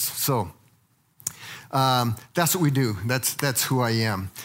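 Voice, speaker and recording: Here a man speaks at a fairly slow pace. His American accent comes with ordinary pitch variation. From Colorado (Littleton). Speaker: church teacher, former missionary. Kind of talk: lecture. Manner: halting.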